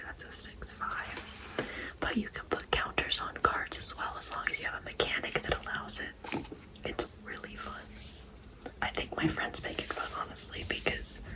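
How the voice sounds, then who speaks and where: With noticeable noise in the background, a woman whispers at a moderate pace. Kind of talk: ASMR pack-opening talk to camera. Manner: soft-spoken, whispered.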